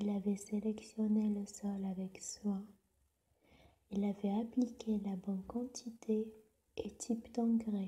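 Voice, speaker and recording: The speech is soft-spoken and very slow. Long pauses come often. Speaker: storyteller. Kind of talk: sleep story.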